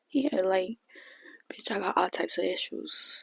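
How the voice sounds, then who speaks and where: A woman talks at a moderate pace and medium pitch. Her pitch varies in an ordinary way, with a dry, close sound and no echo. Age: 20s. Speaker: beauty YouTuber and single mom. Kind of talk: casual vlog rant. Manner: loud; animated.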